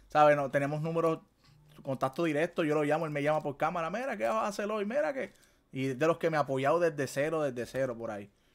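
Over music in the background, a man with a fairly high pitch and ordinary pitch variation speaks at a very fast pace. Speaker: gaming podcast host. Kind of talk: casual chat. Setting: livestream. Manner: animated. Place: home room.

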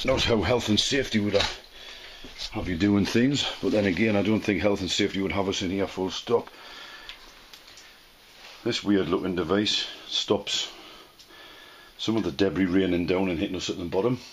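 Fairly low male pitch, fairly even intonation and a moderate pace, with long, frequent pauses and light background noise. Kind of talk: casual commentary. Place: tunnel cave. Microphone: phone near.

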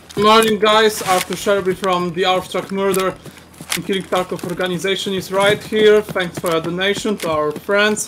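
A man with a Polish accent speaks at a high pitch and moderate pace in monotone, flat intonation over noticeable background noise. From Poland. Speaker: gamer. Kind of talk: casual game chat.

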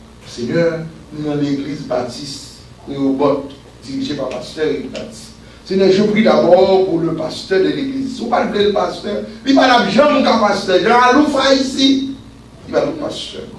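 Pitched high, a man talks at a fairly slow pace with very wide pitch swings. Audible room echo and light background noise come through. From Haiti. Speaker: pastor. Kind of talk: sermon; prayer. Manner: animated. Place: church. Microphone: camera far.

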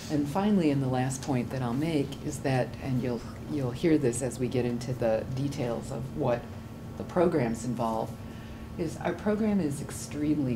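A woman's very deep, low voice against noticeable background noise. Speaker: university program administrator. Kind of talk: presentation. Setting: stage with audience. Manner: halting. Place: classroom. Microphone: camera far.

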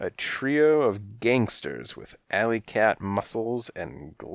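Someone reads in an unforced reading voice.

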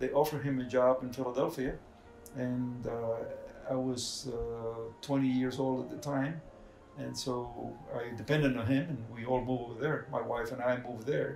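Faint music plays in the background as a man speaks at a moderate pace in a monotone, flat delivery, with audible room echo. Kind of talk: interview answer. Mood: calm reflective. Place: home room.

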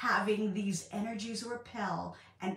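Fairly slow speech from a woman, with audible echo from the room. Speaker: spiritual coach. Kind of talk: casual vlog chat. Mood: warm, empathetic. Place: home room. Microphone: phone near.

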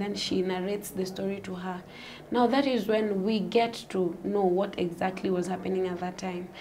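A soft-spoken voice with fairly even intonation sits over light background noise. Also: woman. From Kenya. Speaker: gospel singer; guest. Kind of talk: interview testimony. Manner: halting. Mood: calm, soft-spoken storytelling. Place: studio.

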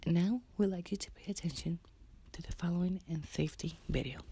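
Soft-spoken delivery in a gentle tone at a moderate pace, with a dry sound and no echo. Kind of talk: ASMR roleplay, soft announcement style. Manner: soft, gentle ASMR flight-attendant voice. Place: home room. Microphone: phone near.

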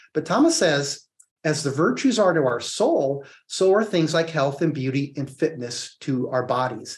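A man's fairly high, somewhat breathy voice at a moderate pace with ordinary pitch variation over a quiet background. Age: 60s. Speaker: psychologist and author; guest. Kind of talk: interview. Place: home room. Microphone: video call.

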